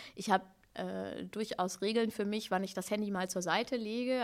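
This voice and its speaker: A woman talks at a medium pitch. Her voice has vocal fry. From Hannover, northern Germany. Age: 30s. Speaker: slam poet and author. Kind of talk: casual interview.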